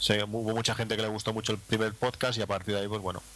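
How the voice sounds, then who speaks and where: A man's bright, sharp voice at medium pitch, very fast and monotone, with flat intonation. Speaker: podcaster. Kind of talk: casual chat.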